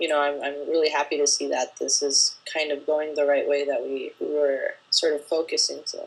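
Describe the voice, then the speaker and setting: A woman with a Spanish accent speaks at a moderate pace with hardly any pauses. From Spain. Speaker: filmmaker. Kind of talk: interview.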